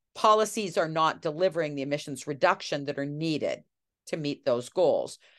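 Against a quiet background, a woman speaks fairly quickly in a very deep, low pitch with ordinary pitch variation. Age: 60s. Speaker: political science professor. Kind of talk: interview.

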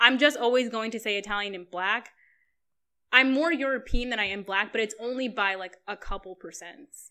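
A woman with an American accent speaks at a moderate pace in a fairly high pitch, her bright, sharp, animated tone moving through ordinary pitch variation and big swings in loudness on a very clean recording with a silent background. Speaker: friend of the host. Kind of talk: casual chat.

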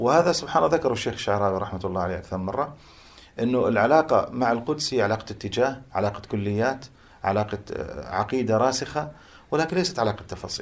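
Using an unremarkable speaking voice at a medium pitch, a man talks at a fairly quick pace with lively intonation. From Jordan (Amman), Palestinian family from Hebron area. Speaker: Islamic scholar. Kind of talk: interview on religious topics. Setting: at home.

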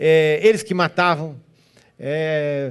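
Speaking with a German accent, a man is heard. His pitch varies in an ordinary way. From southern Brazil, Joinville, Santa Catarina (German-descended community). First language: German (speaking Portuguese). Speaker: guest pastor. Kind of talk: sermon. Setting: church.

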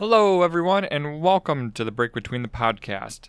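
Speaking at a moderate pace with lively intonation, a man has an unremarkable speaking voice, captured on a very clean recording with a silent background. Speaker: podcast host. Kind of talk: casual chat. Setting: studio.

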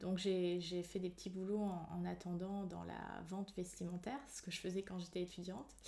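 This woman talks at a fairly slow pace in a medium pitch. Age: 30s. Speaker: psychologist. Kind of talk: casual chat. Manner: hesitant.

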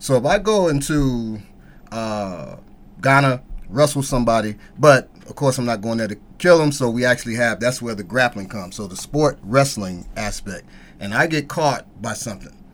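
Using an ordinary speaking voice, a man talks at a moderate pace and medium pitch with lively intonation. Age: 50s. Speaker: martial arts instructor. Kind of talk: casual chat.

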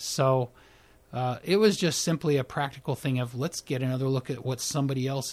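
This man speaks at a medium pitch and a fairly quick pace, somewhat breathy, with ordinary pitch variation. The recording is very clean, with a silent background. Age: 50s. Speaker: primary care physician. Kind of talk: interview.

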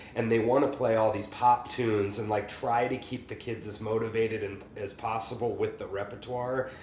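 Over noticeable background noise, a man with an American accent talks at a medium pitch in a monotone, flat intonation, with hardly any pauses. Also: moderate pace. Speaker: podcast host and private music teacher. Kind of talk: casual chat.

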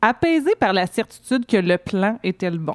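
On a very clean recording with a silent background and a dry, close sound with no echo, a woman speaks at a fairly slow pace in an ordinary speaking voice. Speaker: co-host columnist. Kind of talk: read editorial.

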